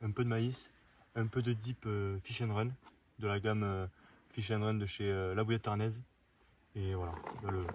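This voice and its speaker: A man speaks with a somewhat breathy, fairly low voice and a monotone, flat intonation. The recording is very clean, with a silent background. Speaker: fishing vlogger. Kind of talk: outdoor vlog narration. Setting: outdoors by a river. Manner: hesitant, many fillers.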